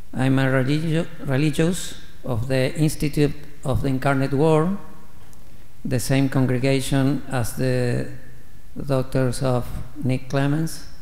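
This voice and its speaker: Long, frequent pauses at a fairly slow pace, with audible room echo. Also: man, fairly even intonation. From Argentina. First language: Spanish. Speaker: missionary priest. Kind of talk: homily. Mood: warm, grateful. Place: church. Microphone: podium.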